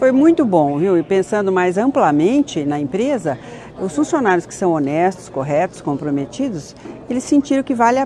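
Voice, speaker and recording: The speaker keeps a moderate pace over light background noise. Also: woman. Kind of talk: interview answer. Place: hall.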